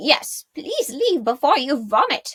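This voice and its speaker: A put-on character voice, croaky, with very wide pitch swings and a fairly slow pace. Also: woman. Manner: stern, curt.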